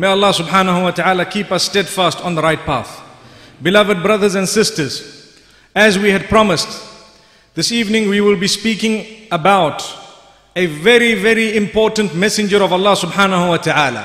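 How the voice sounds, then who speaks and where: This man's voice is pitched high, with ordinary pitch variation and audible echo from the room. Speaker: speaker. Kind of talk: sermon. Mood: calm, measured. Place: church.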